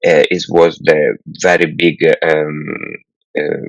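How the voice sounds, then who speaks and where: A man speaks with an Italian accent. The sound is dry and close, with no echo. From Italy. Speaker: film director. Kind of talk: interview. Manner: halting, many fillers.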